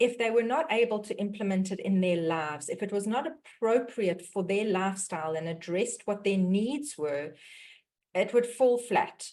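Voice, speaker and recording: In a South African accent, a woman speaks at a moderate pace with lively intonation and a medium pitch. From South Africa, Johannesburg. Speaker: dietitian and mindset mentor hosting a webinar. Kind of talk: webinar introduction.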